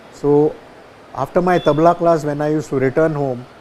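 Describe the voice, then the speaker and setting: Over noticeable background noise, a man with a fairly high pitch speaks at a fairly quick pace with ordinary pitch variation. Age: 70s. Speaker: tabla maestro. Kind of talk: interview. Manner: halting.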